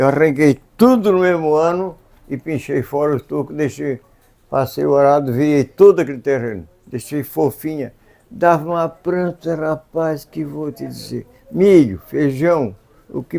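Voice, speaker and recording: A man talks fairly slowly at a fairly high pitch with ordinary pitch variation. Background noise is noticeable. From southern Brazil, Santa Catarina. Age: 80s+. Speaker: farmer. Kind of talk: interview answer.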